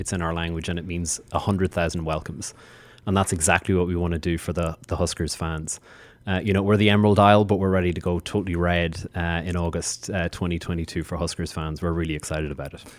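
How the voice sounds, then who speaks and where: Against a very clean recording with a silent background, a man with an Irish accent speaks at a fairly quick pace. His very deep, low voice stays monotone and flat. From Ireland. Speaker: diplomat. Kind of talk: interview.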